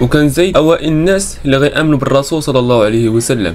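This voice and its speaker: Music plays in the background as a man talks at a fairly quick pace and a fairly high pitch with ordinary pitch variation. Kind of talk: storytelling narration of religious history.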